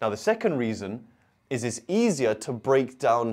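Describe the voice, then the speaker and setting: With little behind him, a man talks fairly slowly over a quiet background. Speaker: maths tutor. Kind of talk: tutorial. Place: studio. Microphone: lapel.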